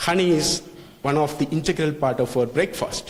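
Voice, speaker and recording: Amid audible room echo, a man with a non-native accent and a fairly high pitch talks at a moderate pace. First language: not English. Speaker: lecturer on food safety. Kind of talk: lecture. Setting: hotel hall with live audience. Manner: halting.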